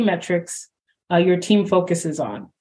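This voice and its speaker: A woman speaks fairly slowly in a Canadian accent, her voice somewhat breathy. The background is quiet. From Canada. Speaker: podcast host. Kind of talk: interview.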